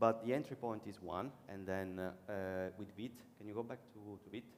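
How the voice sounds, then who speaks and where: With an Italian accent, a man talks at a moderate pace in a fairly low voice. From Italy. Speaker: conference speaker, web developer. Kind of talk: conference talk and Q&A. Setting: conference stage with audience.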